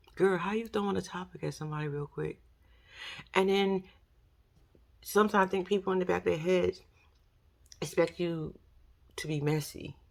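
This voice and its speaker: A woman with a fairly low voice and an animated tone talks at a fairly quick pace, with long, frequent pauses. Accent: New York. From New York. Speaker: YouTuber commentator. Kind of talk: casual commentary monologue.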